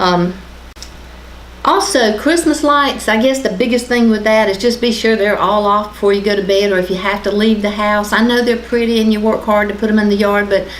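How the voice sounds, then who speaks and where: There is noticeable background noise and audible room echo as a woman talks at a fairly quick pace in a fairly high pitch, with very even loudness and fairly even intonation. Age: 50s. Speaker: county official giving fire safety tips. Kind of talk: local TV talk show interview.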